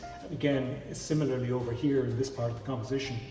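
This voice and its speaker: Noticeable background noise sits behind a man's voice. He speaks at medium pitch with fairly even intonation. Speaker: art auctioneer. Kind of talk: auction preview presentation.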